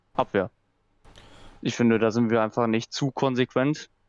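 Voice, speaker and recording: The man's voice sits at a medium pitch, his intonation monotone and flat. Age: 20s. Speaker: football fan guest. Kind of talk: casual chat.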